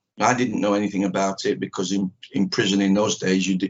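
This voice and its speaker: A man talks at a very fast pace with a Manchester accent. His pitch is fairly low. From northern England, Manchester. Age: 60s. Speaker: karate teacher. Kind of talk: interview. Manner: halting, many fillers.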